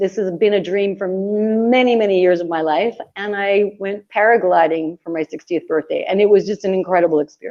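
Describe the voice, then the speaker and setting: A woman with a Canadian accent has a plain, everyday voice at medium pitch. She speaks at a fairly quick pace with fairly even intonation and hardly any pauses. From Canada. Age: 60s. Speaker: traveller and author. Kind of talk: casual chat. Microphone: phone.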